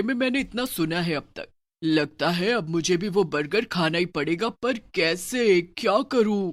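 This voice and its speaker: Using a cartoonish character voice, a man speaks at a moderate pace. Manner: gleeful, cackling.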